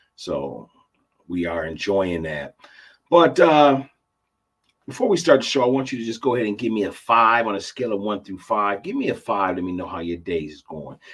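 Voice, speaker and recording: With lively intonation, a man talks at a moderate pace in a fairly low voice. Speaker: podcast host. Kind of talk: casual livestream podcast talk. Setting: live stream. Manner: rambling, tripping over words.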